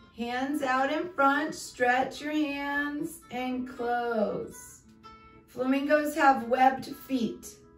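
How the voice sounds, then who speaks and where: With faint music in the background and audible room echo, a woman speaks at a high pitch with fairly even intonation. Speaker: fitness instructor. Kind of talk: exercise class instruction. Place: home room. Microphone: camera far.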